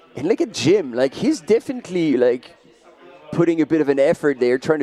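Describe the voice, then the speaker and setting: Speaking with a French accent, the voice has lively intonation over noticeable background noise. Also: man. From France. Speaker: trail running commentator. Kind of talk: live commentary.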